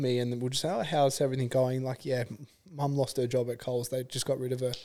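At a fairly quick pace, a man talks in a normal speaking voice of medium pitch. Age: 40s. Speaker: podcast host and real estate agent. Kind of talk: casual chat.

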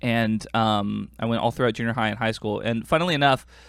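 Talking at a very fast pace, a man with an American accent holds a medium pitch and fairly even intonation. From US, Korean American. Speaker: podcast host. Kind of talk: casual chat.

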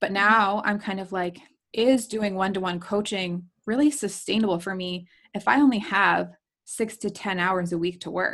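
A woman of medium pitch uses a normal speaking voice, keeping a moderate pace and fairly even intonation. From New Jersey shore. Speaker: photographer and business coach. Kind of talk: casual chat. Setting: video call.

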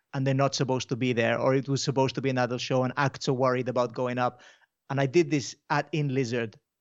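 A man with a medium-pitched voice speaks at a very fast pace. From Mallorca, Spain, and UK. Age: 30s. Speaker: comedian. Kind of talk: casual chat. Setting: video call.

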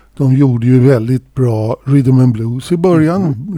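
At a fairly slow pace, the voice has a dark, mellow tone in a dry, close sound with no echo. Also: man. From Sweden. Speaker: podcast co-host and drummer. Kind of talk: casual chat.

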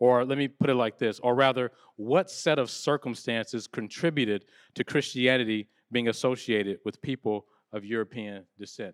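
A man's ordinary speaking voice, medium in pitch with ordinary pitch variation, at a moderate pace, on a very clean recording with a silent background and a dry, close sound with no echo. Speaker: panel moderator. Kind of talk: panel moderation. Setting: live event with audience. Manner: casual, warm.

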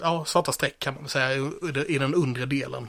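This man's voice sits at a fairly high pitch and moves with ordinary pitch variation. The recording is very clean, with a silent background. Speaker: podcast host. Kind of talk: role-play game chat. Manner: animated.

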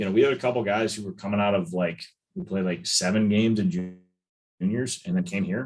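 A man with a normal speaking voice and an American accent speaks at a fairly low pitch. His intonation is lively and his pace fairly quick. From US Midwest (Chicago). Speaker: strength and conditioning coach. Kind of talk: podcast interview.

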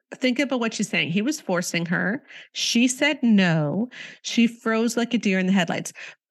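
With a Canadian accent, a woman speaks at a moderate pace in a fairly high, somewhat breathy voice with lively intonation against a quiet background. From Canada. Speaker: author and podcast host. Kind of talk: interview.

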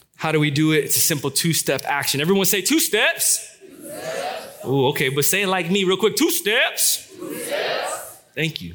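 The delivery is animated and playful, at a moderate pace with hardly any pauses. Noticeable background noise runs underneath. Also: man. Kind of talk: comedy monologue in a sermon. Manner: animated, joking, conversational; self-deprecating, playful.

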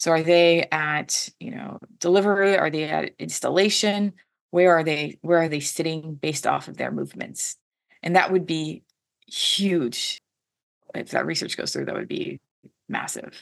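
A woman with an American accent speaks at a fairly slow pace, her volume showing big swings in loudness. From US Pacific Northwest, Washington State. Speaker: cyber threat intelligence advisor. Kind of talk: interview.

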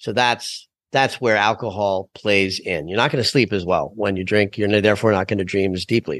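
At a moderate pace, a man speaks in a normal speaking voice at a fairly low pitch with ordinary pitch variation, the sound dry and close with no echo over a quiet background. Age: 60s. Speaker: astrologer and dream expert. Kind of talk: interview.

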